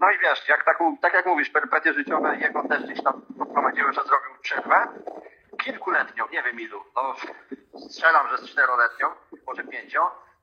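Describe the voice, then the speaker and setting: Noticeable background noise can be heard. Over it, a man speaks at a fairly quick pace. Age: 30s. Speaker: skateboarder and clinical research coordinator. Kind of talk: casual interview.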